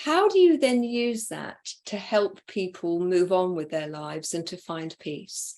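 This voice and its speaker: A woman speaks in a normal speaking voice at a medium pitch and a fairly slow pace. Her intonation is lively, and her loudness swings widely. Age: 60s. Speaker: interview host and coach. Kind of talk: interview conversation.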